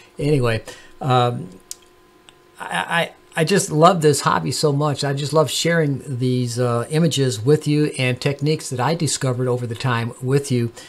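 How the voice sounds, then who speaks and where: Against noticeable background noise, the speech moves at a moderate pace with ordinary pitch variation. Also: man, medium pitch for a man. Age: 70s. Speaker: amateur astronomer YouTuber. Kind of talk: tutorial. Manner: halting, many fillers.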